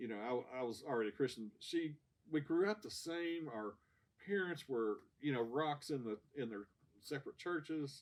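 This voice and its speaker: Here a man with a fairly high pitch talks at a moderate pace in an American accent, his intonation lively. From Kentucky, US (Ashland). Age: 60s. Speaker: church member sharing testimony. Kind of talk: testimony. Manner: halting, many repeated words and fillers.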